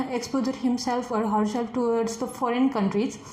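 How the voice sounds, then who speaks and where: A woman speaks at a high pitch in a Nepali accent. Audible room echo and noticeable background noise fill the recording. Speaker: test candidate. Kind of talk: speaking exam interview. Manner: halting, many fillers.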